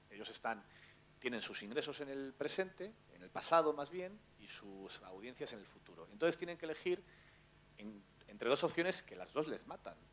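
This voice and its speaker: A man with a fairly high pitch talks at a moderate pace, his pitch swinging very widely and his loudness rising and falling sharply. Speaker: journalist. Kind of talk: panel talk.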